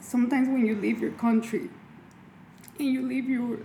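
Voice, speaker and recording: A woman talks at a moderate pace with a Mexican accent. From Mexico. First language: Spanish. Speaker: makeup artist and cosmetics entrepreneur. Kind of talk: casual interview.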